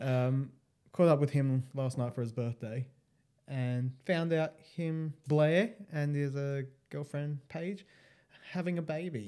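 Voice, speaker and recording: A man with an Australian accent, medium in pitch with ordinary pitch variation and a dark, mellow tone. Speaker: podcast co-host. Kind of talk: casual chat.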